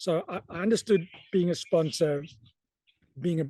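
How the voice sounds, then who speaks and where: In a South African accent, a man speaks with a fairly high pitch and a dark, mellow tone, recorded dry and close with no echo against a quiet background. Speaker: sports event announcer. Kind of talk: interview.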